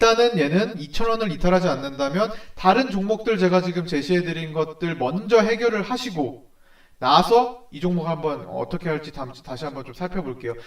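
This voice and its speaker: High-pitched, a man speaks with lively intonation. His loudness swings widely. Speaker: stock market analyst. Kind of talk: stock consultation video. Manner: fast.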